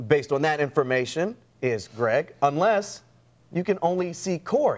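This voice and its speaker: This man has a fairly high pitch, an American accent and an ordinary speaking voice. His intonation is lively and his pace moderate. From American, Kentucky. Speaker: news anchor and reporter. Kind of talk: television news anchor read.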